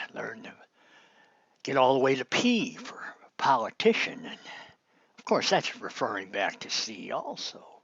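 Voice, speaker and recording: A man whispering in an American accent, with big swings in loudness and long, frequent pauses. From Chicago, US Midwest. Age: 60s. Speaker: political commentator. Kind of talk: online monologue. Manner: casual, rambling with fillers.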